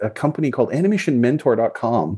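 Fairly high in pitch, a man with a Canadian accent speaks in a dark, mellow tone with very wide pitch swings. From Canada (Calgary, Alberta). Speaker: film animator and dinosaur artist. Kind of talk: interview.

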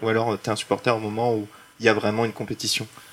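Over noticeable background noise, a man talks very fast in a fairly low pitch with monotone, flat intonation. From Paris. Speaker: illustrator, artist. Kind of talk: panel discussion. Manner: casual, hesitant.

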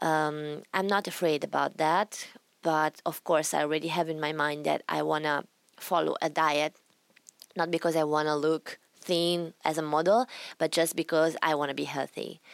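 A woman with an Italian accent speaks at a moderate pace in a very deep, low pitch with monotone, flat intonation, the sound dry and close with no echo. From Italy. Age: 20s. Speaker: retired rhythmic gymnast. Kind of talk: interview.

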